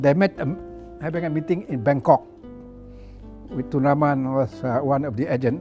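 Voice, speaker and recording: Against music in the background, a man of fairly high pitch talks at a moderate pace with ordinary pitch variation and long, frequent pauses. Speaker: former politician. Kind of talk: interview answer, reminiscing about history.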